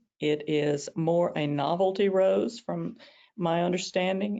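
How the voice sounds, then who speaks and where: This woman's voice sits fairly low, and her pitch moves in an ordinary way. She speaks very slowly in a Southern US accent. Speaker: rose expert presenter. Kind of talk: webinar presentation. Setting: online webinar. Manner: hesitant with many fillers.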